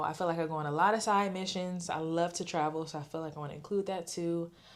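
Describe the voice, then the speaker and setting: A woman with an American accent, fairly low in pitch, at a very fast pace with hardly any pauses, in a very clean recording with a silent background. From US South, Augusta, Georgia. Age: 20s. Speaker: content creator. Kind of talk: casual vlog talk to camera. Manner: animated.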